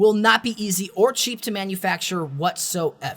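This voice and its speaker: Raised and projected, the voice sounds animated and bright with a sharp edge, its pitch varying in an ordinary way. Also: man. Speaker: tech youtuber. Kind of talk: tech commentary video. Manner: fast.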